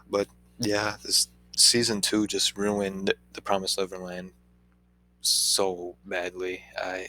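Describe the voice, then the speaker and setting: A man speaks at a very slow pace with a fairly low pitch. His intonation is monotone and flat, broken by long, frequent pauses. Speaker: anime reviewer. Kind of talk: casual review commentary. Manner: halting, stuttering.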